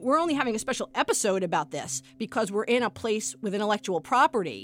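A very fast woman's voice with an American accent, very wide pitch swings and vocal fry. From US Northeast, Brooklyn. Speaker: professor. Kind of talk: interview.

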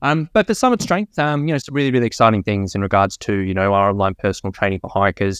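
Talking at a very fast pace with hardly any pauses, a man with an Australian accent uses lively intonation and a fairly low pitch, the sound dry and close with no echo against a quiet background. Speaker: fitness coach and podcaster. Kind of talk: casual interview chat. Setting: video call.

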